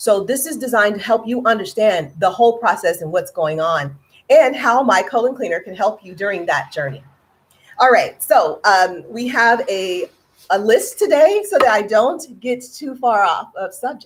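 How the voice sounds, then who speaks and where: A woman with an American accent speaks at a fairly high pitch, her loudness rising and falling sharply and her pitch swinging very widely. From California. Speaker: health product seller. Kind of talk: informational presentation. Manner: deliberately slow; careful, proper enunciation.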